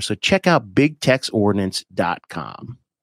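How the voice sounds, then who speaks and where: Very wide pitch swings in a dry, close sound with no echo, on a very clean recording with a silent background. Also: man. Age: 40s. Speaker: podcast host. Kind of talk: casual chat.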